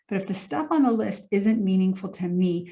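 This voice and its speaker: A woman speaks in a medium pitch with a dark, mellow tone, somewhat breathy and with fairly even intonation. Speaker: emotional intelligence coach. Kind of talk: motivational talk to camera.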